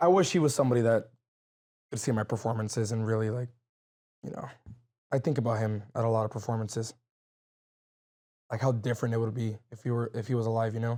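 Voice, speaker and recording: Despite long, frequent pauses, a man speaks at a very fast pace in a dark, mellow tone with fairly even intonation. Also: medium pitch for a man. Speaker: mariachi trumpet player and vocalist. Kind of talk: interview conversation. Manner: loud; halting, many fillers.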